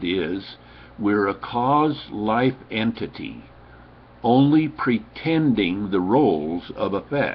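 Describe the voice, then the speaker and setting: Lively intonation marks this man's fairly low-pitched voice. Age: 70s. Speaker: self-help speaker. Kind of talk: webcam monologue. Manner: emphatic.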